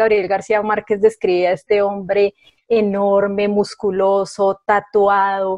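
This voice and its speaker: A woman talks in a normal speaking voice. Her pitch is fairly high and her pace fairly slow. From Colombia, Bogotá. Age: 40s. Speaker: writer. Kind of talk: casual chat.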